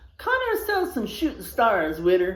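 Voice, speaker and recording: A woman uses a put-on character voice at a moderate pace. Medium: read story.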